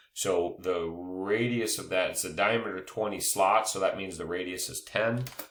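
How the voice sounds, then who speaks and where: The pace is fairly slow as a man talks with ordinary pitch variation. Room echo is audible. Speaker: engineering drafting instructor. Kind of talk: screen-recorded tutorial. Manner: hesitant with many fillers.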